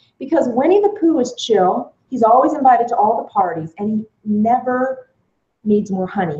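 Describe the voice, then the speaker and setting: An American accent in a woman's fairly high voice, dark and mellow in tone, with very wide pitch swings. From US East Coast. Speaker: author and empowerment speaker. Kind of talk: casual panel chat. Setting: live video stream. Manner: fast.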